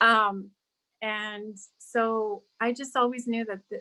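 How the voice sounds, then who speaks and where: A woman with a Spanish accent has a fairly high pitch and a bright, sharp tone. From California, near Santa Barbara, born abroad. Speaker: school district diversity director. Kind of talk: radio interview. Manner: repetitive, halting.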